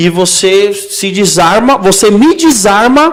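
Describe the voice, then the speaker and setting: A man whose pitch swings very widely, heard over noticeable background noise. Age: 30s. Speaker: podcast host. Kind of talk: casual chat.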